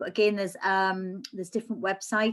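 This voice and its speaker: A woman with a Geordie accent, medium in pitch, at a fairly quick pace, with monotone, flat intonation against a quiet background. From northern England, Newcastle. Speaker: cancer support charity worker. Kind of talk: online presentation.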